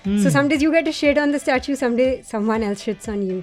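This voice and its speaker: A woman talks with lively intonation. Behind her, music is playing. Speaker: radio jockey. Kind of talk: interview answer.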